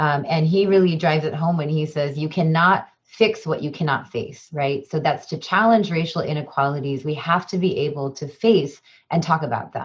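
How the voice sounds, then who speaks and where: Breathy in a mild way, the voice has an American accent and ordinary pitch variation. It moves at a moderate pace with hardly any pauses. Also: woman, very deep, low pitch for a woman. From Chicago suburbs, US Midwest. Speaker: diversity trainer and professor. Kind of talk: webinar presentation. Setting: video call webinar.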